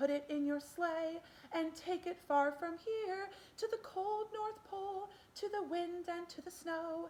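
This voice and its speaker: A woman puts on a squeaky character voice at an extremely high pitch, speaking at a fairly slow pace over clear background noise. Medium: read story.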